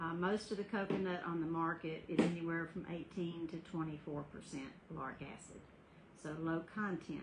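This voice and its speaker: A woman speaks at a moderate pace with a Southern US accent. Her voice is fairly low-pitched and somewhat breathy, with fairly even intonation. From US South. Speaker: skincare business owner. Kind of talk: sales pitch. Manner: casual.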